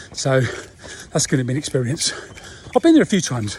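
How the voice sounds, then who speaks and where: Over noticeable background noise, a man speaks with an English accent. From England. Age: 60s. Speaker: runner and expat vlogger. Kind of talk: casual talk to camera while running.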